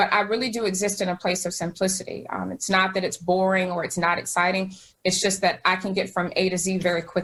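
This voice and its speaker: The delivery comes in an American accent at a very fast pace with hardly any pauses. Intonation is monotone and flat. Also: woman, medium pitch for a woman. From US South, eastern North Carolina. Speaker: educator and speaker. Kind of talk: interview conversation. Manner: hesitant, many fillers.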